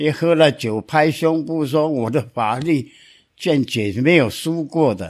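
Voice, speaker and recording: In a very clean recording with a silent background, a man with a fairly high pitch speaks very slowly, using lively intonation. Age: 80s+. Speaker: lawyer. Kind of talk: storytelling.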